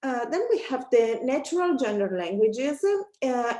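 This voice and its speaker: With music playing behind her, a woman with an Italian accent speaks at a high pitch with lively intonation. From Italy. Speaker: academic researcher. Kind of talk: academic presentation. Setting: webinar. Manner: many filler hesitations.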